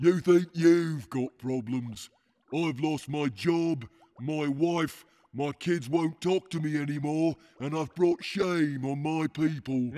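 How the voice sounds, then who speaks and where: In a put-on character voice, a man speaks with fairly high pitch. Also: fairly slow pace. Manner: gloomy, self-pitying, then contemptuous.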